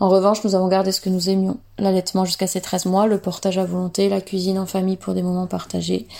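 A woman's dark, mellow voice, monotone and flat, at a very fast pace in a very clean recording with a silent background. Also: medium pitch for a woman, hardly any pauses. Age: 30s. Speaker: mother giving testimony. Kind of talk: reading aloud.

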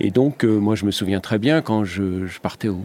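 This is a normal speaking voice with ordinary pitch variation. It moves at a moderate pace. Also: man. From Lorraine, France. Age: 60s. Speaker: TV foreign correspondent. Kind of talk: interview.

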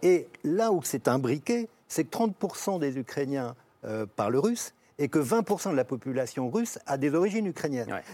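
Speaking at a fairly slow pace, a man uses a fairly high voice with a dark, mellow tone and very wide pitch swings. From France. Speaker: journalist and writer. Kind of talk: televised panel debate. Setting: TV studio.

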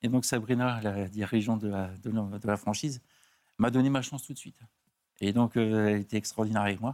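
On a very clean recording with a silent background, a man speaks at a fairly quick pace, with a fairly low pitch and fairly even intonation. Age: 50s. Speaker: beautician. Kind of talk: TV talk show interview. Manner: hesitant.

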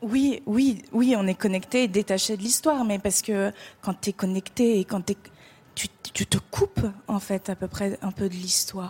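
At a fairly slow pace, a woman speaks in a medium pitch with ordinary pitch variation, somewhat breathy and with a dark, mellow tone, in a dry, close sound with no echo. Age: 20s. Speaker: actress and writer. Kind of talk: televised interview. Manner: hesitant, repeating words.

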